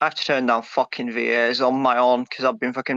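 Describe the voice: The voice is plain reading aloud. Nothing else stands out in the delivery.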